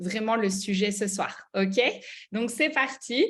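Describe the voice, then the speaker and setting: This voice carries a Belgian accent and is somewhat breathy. The intonation stays fairly even. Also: woman. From Belgium, Liège. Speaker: network marketing mentor. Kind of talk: online mentoring presentation. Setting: video call. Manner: hesitant, many fillers.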